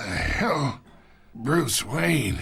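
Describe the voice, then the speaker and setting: A man in a put-on character voice sounds raspy at a medium pitch, with very wide pitch swings. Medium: video game. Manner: gruff, patronizing.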